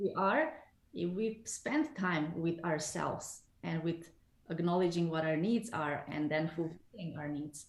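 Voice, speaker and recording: At a fairly slow pace, a woman talks in a fairly low pitch with ordinary pitch variation and an ordinary speaking voice. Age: 40s. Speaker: numerologist. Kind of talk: interview.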